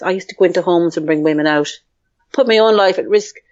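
A woman speaks with an Irish accent. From Ireland. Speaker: psychotherapist and healer. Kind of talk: interview.

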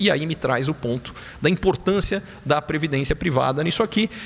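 Noticeable background noise sits behind a man with a fairly high pitch. He speaks at a moderate pace with lively intonation. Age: 40s. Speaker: economist. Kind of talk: conference talk.

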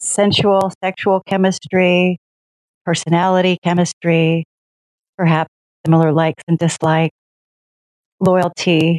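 A woman's fairly low, monotone voice at a fairly slow pace, with long, frequent pauses, very even loudness, and a dry, close sound with no echo. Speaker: client asking a question. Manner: hesitant, thoughtful with fillers.

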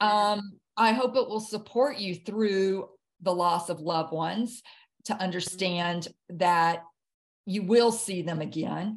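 A woman with a Southern US accent speaks at a very slow pace. Her pitch is medium and varies in an ordinary way. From US South, Jackson, Mississippi. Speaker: author and near-death experience survivor. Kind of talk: interview testimony. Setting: video call.

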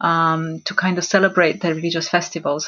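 Flat and monotone, a woman speaks in a fairly low pitch with a Romanian accent. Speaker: religious studies lecturer. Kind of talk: panel discussion.

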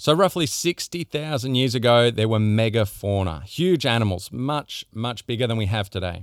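In a very clean recording with a silent background and dry, close sound with no echo, a man with an Australian accent speaks with lively intonation. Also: medium pitch for a man, moderate pace, hardly any pauses. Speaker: podcast host. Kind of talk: solo monologue on health.

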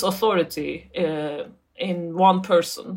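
A woman speaks with a Turkish accent. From Turkey. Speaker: academic author. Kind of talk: interview. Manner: halting.

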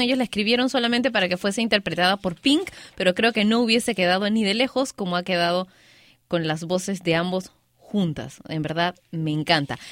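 A woman talks at a fairly quick pace with lively intonation in a dry, close sound with no echo. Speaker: radio host. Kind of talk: casual radio show talk. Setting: studio.

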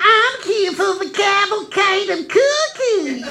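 A squeaky put-on character voice speaks at an extremely high pitch and fairly slow pace. Background noise is clearly audible. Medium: audio drama.

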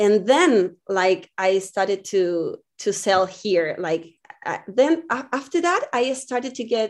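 A woman with a Spanish accent speaks at a very slow pace with a medium pitch. Her intonation is lively, and the background is quiet. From Chile, Viña del Mar. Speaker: visual artist. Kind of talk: interview. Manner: halting.

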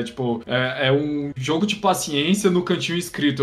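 A man speaks with a fairly high pitch. Noticeable noise sits in the background. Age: 20s. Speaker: podcast host and editor. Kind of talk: casual chat.

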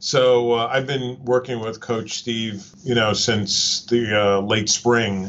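A man with an American accent has an ordinary speaking voice. He talks at a moderate pace with fairly even intonation. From New Jersey. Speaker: dental school professor, podcast listener. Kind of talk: interview.

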